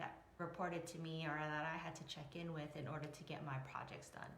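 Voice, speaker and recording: A woman with a fairly low pitch is speaking. Audible room echo and noticeable background noise are present. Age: 40s. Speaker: emotional resilience coach. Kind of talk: live stream talk. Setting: Facebook live video. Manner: casual, rambling with fillers.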